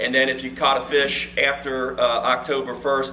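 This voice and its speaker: Audible room echo and noticeable background noise fill the clip. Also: man. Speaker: fisheries biologist. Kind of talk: presentation to club meeting. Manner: loud.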